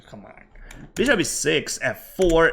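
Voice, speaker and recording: The pace is very slow. A man is the speaker. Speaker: chess streamer. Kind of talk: live commentary. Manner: animated.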